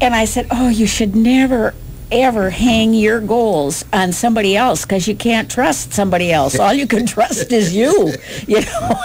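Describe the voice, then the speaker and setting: Her intonation is lively and her pitch fairly high, her loudness kept very even. The woman speaks at a moderate pace with noticeable background noise. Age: 70s. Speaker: radio talk show co-host. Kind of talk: casual chat.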